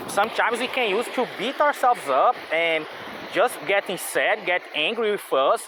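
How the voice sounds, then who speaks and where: The speaker has a non-native accent. Noticeable background noise sits under the voice. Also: moderate pace. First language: not English. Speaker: vlogger. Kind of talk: casual monologue. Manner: halting.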